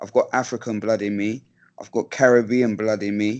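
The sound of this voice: The voice moves at a moderate pace with little pitch movement and a slightly mellow tone. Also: man, fairly low pitch for a man.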